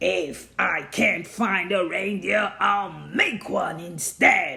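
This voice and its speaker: This put-on character voice growls and hisses at a middle pitch. The delivery is very slow. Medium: read story. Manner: sneering, scheming.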